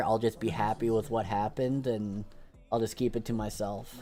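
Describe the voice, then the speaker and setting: Here a man with an unremarkable speaking voice talks at a moderate pace and a medium pitch. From Canada. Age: 20s. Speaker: video game streamer. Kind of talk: casual chat.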